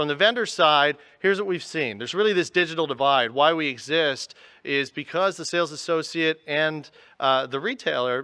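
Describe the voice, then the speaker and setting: A loud man with a bright, sharp tone, a fairly high pitch with ordinary variation and a moderate pace. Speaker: tech company executive. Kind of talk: conference presentation. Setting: stage with audience.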